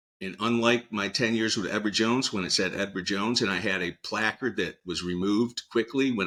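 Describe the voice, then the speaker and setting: Recorded very cleanly with a silent background, a man with a fairly low pitch talks at a fairly quick pace in a bright, sharp tone with ordinary pitch variation. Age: 60s. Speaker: financial advisor. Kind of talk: interview.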